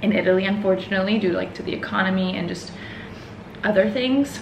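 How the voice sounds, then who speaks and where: A woman with an American accent, with noticeable background noise. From Houston, Texas. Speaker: vlogger. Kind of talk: casual vlog to camera. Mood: emotional, nostalgic. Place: home room. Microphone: camera far.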